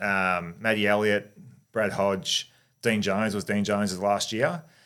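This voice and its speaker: The recording is very clean with a silent background. A man with a fairly low, bright, sharp tone speaks at a fairly slow pace with fairly even intonation. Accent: Australian. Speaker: former cricketer. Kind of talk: interview.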